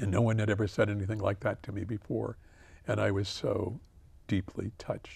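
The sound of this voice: Reading in an unforced voice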